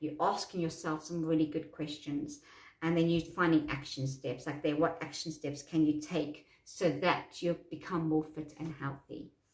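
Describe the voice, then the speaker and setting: The voice is somewhat breathy. It moves at a moderate pace with monotone, flat intonation. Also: woman, very deep, low pitch for a woman. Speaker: self-help coach. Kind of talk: tutorial. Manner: halting.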